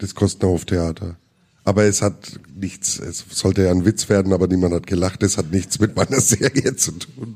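This man's voice is very deep and low, with a dark, mellow tone, ordinary pitch variation, and a moderate pace. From Middle Franconia, Germany. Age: 50s. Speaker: musician and cartoonist. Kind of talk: live interview with audience. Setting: stage with audience.

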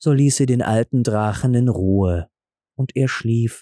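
A man's medium-pitched, dark, mellow voice at a fairly slow pace, with ordinary pitch variation, in a very clean recording with a silent background and a dry, close sound with no echo

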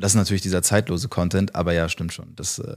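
A man's fairly low voice at a very fast pace, in a very clean recording with a silent background. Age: 20s. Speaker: business consultant. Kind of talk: interview.

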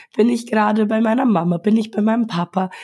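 Somewhat breathy delivery with ordinary pitch variation. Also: woman. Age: 20s. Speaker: lactation consultant. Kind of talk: interview. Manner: soft-spoken.

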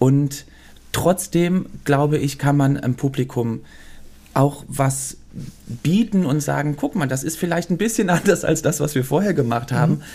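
A man speaks fairly slowly at a fairly high pitch, with a dark, mellow, somewhat breathy tone. His pitch varies in an ordinary way. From Germany, Cologne (early childhood in Belgium). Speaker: choreographer and former musical performer. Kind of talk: casual interview. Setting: theater venue.

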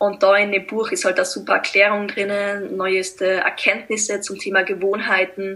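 A woman in a Tyrolean accent at a moderate pace, monotone and flat in intonation, with hardly any pauses. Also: medium pitch for a woman. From Austria, East Tyrol. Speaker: blogger and mental coach. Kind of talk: interview.

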